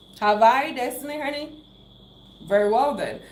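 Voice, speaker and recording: The speaker has a Cameroonian accent and an animated tone, talking at a fairly quick pace. Pitch varies in an ordinary way, and room echo is audible. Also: woman. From Cameroon, English-speaking southwest region. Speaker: YouTuber. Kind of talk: live stream chat.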